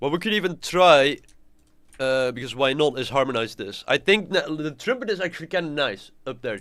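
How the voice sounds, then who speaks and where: A man with a bright, sharp tone and fairly high pitch at a moderate pace, clear music in the background. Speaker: composer streamer. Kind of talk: live stream tutorial. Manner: halting, repeats words. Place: home room.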